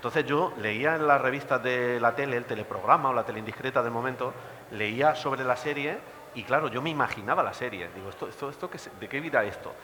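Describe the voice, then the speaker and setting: Over noticeable background noise, a man speaks at a very fast pace and medium pitch, his loudness swinging widely while his pitch varies in an ordinary way. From Spain, Villena (Alicante). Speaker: teacher and film commentator. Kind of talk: panel talk. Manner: animated.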